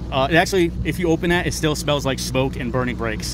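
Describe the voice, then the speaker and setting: A man at a very fast pace, dry sound with no echo, noticeable background noise. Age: 40s. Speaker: truck driver and vlogger. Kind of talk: casual vlog monologue. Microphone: phone near.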